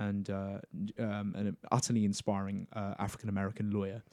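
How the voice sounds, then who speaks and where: This man has a southern English accent and a fairly low pitch. His intonation is monotone and flat. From Cambridgeshire, England. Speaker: university student. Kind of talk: casual chat.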